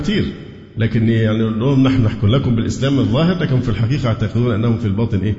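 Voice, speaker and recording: A man with an Egyptian accent speaks with ordinary pitch variation amid noticeable background noise and audible room echo. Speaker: Islamic preacher. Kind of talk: lecture.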